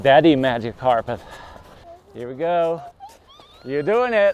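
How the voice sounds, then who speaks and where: Clearly audible background noise accompanies a male speaker who keeps a medium tempo. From Netherlands. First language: Dutch. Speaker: snowboard binding engineer. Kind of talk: documentary interview answer. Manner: soft-spoken.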